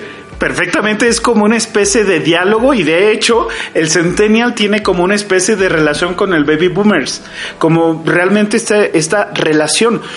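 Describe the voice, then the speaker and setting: Against noticeable background noise, a man talks at a moderate pace in a high pitch with ordinary pitch variation. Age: 40s. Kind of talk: casual chat.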